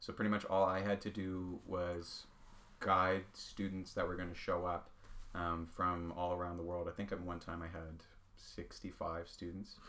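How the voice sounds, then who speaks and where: Flat, monotone speech at a fairly slow pace, in a Nova Scotian accent. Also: man. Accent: Nova Scotian Canadian English. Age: 20s. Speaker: pen maker and small business owner. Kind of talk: casual interview chat. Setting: podcast recording.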